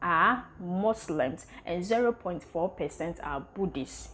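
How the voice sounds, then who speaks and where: Over light background noise, a woman speaks at a very slow pace with very wide pitch swings. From Ghana. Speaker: content creator, travel vlogger. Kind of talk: casual vlog presentation. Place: home room.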